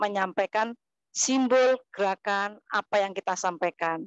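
A woman speaks at a fairly slow pace with ordinary pitch variation. The sound is dry with no echo, and the background is quiet. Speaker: kindergarten teacher and dancer; kindergarten teacher. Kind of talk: online presentation. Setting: video call. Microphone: lapel.

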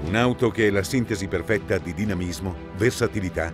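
A man talks at a moderate pace, dry with no echo. Clear music plays in the background. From Italy. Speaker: voice actor. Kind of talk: TV commercial read. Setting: studio. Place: booth.

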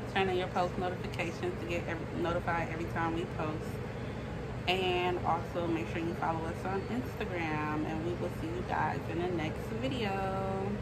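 Loud background noise under a woman's moderately paced speech. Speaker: vlogger. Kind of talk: casual vlog outro. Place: home room. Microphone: phone near.

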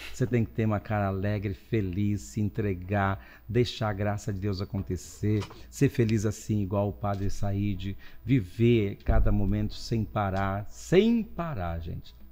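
A man speaks at a fairly slow pace. His voice has a dark, mellow tone and fairly low pitch. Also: ordinary pitch variation. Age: 60s. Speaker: priest. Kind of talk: casual chat. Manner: animated. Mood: cheerful, joking. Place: studio. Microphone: studio mic.

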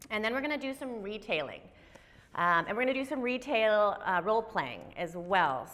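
With a bright, sharp tone, a woman talks at a moderate pace using lively intonation. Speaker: instructor. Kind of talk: lecture. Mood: cheerful, upbeat. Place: classroom.

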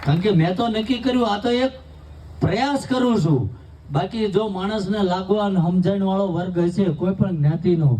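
Very even loudness comes through with audible room echo and noticeable background noise. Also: man, high pitch for a man, ordinary pitch variation. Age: 40s. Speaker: spiritual speaker, anti-alcohol campaigner. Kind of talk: public speech at community wedding.

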